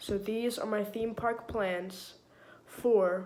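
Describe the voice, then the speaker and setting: The pace is very slow, with monotone, flat intonation. There is an American accent and noticeable background noise. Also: woman. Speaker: theme park vlogger. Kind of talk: casual vlog.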